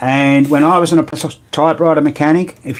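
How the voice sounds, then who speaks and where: Speaking at a fairly quick pace with an Australian accent, a man with a fairly high pitch is heard over noticeable background noise. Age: 70s. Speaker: pinball repairer. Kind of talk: live stream chat. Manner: casual.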